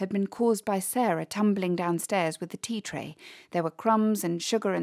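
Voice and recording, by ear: Reading aloud in a natural voice, with ordinary pitch variation.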